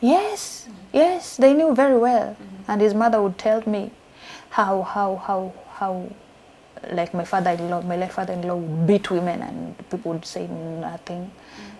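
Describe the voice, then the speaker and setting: Over noticeable background noise, a woman talks at a moderate pace and medium pitch, with ordinary pitch variation and big swings in loudness. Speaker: survivor of gender-based violence, interview guest. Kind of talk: interview answer, personal testimony.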